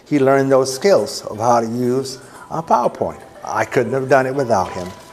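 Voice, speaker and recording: Noticeable background noise is heard behind a man talking at a moderate pace. His pitch is medium for a man, with ordinary variation. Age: 70s. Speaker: ministry director. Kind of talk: presentation to a club.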